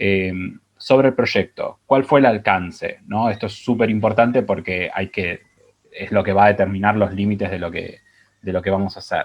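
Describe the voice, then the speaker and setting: At a moderate pace, a man with an Argentine accent speaks in a fairly low voice with fairly even intonation. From Argentina. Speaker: digital marketing strategist; webinar presenter. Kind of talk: presentation. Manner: hesitant, many fillers. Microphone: earbuds.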